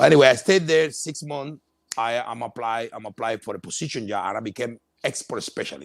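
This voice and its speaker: With a Cuban accent, a man talks at a fairly quick pace, showing ordinary pitch variation and big swings in loudness. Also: medium pitch for a man. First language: Spanish. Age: 50s. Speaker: entrepreneur. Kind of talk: interview. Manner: halting, repetitive.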